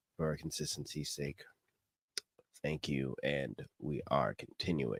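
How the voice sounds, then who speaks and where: A man with an American accent speaks very slowly in a very deep, low voice with vocal fry and fairly even intonation. The sound is dry and close, with no echo. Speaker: podcast host and musician. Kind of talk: casual commentary podcast. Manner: casual, slangy.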